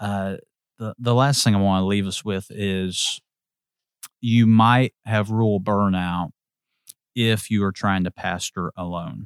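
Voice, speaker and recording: A man with an American accent talks at a fairly slow pace and a fairly low pitch, with fairly even intonation. The recording is very clean, with a silent background and a dry, close sound with no echo. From Indiana, US Midwest. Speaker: pastor. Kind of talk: casual interview conversation.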